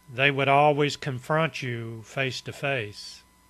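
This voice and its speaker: Very slow speech from a man with an Appalachian accent, medium in pitch and bright, sharp in tone. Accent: Southern Appalachian US. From East Tennessee, US. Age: 70s. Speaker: storyteller, vlogger. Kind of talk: personal reminiscence monologue. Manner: relaxed, conversational with fillers.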